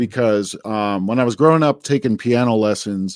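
A man with an American accent speaks in an ordinary speaking voice, medium in pitch with ordinary pitch variation. The very clean recording has a silent background and a dry, close sound with no echo. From New Jersey. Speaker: musician and bandleader. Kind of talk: interview.

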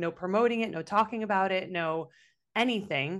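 A woman talks with an unremarkable speaking voice, using medium pitch, ordinary pitch variation and a moderate pace. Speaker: podcast co-host. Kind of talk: casual chat.

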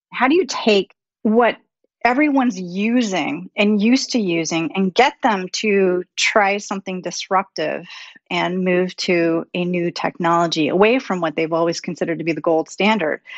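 This is a woman with a plain, everyday voice and ordinary pitch variation. She talks at a moderate pace and a medium pitch. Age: 50s. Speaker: CEO and technology futurist. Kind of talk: interview.

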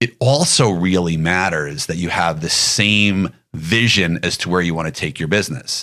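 A man speaks with a very deep, low pitch. His tone is bright and sharp, and his intonation lively. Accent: American. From New York. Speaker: pediatric dentist. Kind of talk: interview conversation.

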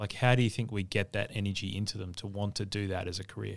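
At a fairly quick pace, a man with a fairly low pitch speaks in an Australian accent. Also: very clean recording, silent background. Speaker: podcast host and hospitality consultant. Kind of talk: interview.

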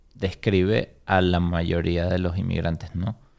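A man with a very deep, low pitch is heard on a very clean recording against a silent background. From Venezuela, Caracas. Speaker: business owner. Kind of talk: interview.

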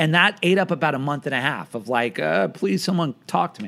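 At a moderate pace, a plain, everyday voice speaks with lively intonation. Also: man. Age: 40s. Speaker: film screening company executive. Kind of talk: casual interview. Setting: video call.

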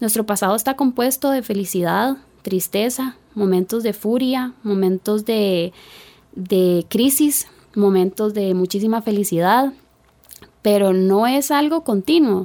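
Speaking fairly slowly in a Costa Rican accent, a woman has a fairly high pitch and a dark, mellow tone. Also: ordinary pitch variation. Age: 20s. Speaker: personal finance expert. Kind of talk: casual interview.

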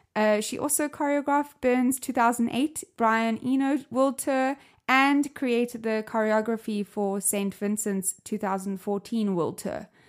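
Speaking in a South African accent, a woman with a fairly high pitch and a playful tone talks at a fairly slow pace with ordinary pitch variation and hardly any pauses, on a very clean recording with a silent background. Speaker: podcast host. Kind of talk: casual interview.

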